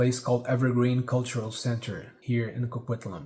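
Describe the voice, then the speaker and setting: Here a man of medium pitch speaks with a Brazilian accent. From Brazil, Rio de Janeiro. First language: Portuguese. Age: 40s. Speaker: singer-songwriter. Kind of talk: casual vlog monologue. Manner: halting, with fillers and repeats.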